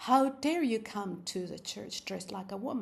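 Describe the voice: This is plain reading aloud. The clip is plain reading aloud from start to finish.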